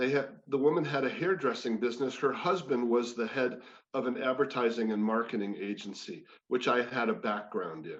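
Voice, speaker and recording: At a fairly quick pace, a man of medium pitch talks in a plain, everyday voice. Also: lively intonation. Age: 60s. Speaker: former sportscaster and wellness speaker. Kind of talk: personal testimony talk. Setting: spiritual community service.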